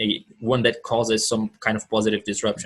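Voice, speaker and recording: A man's somewhat breathy voice comes through against a quiet background. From Brazil. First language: Portuguese. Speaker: entrepreneur, mastermind member. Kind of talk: casual group video call pitch. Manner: halting, repeats words.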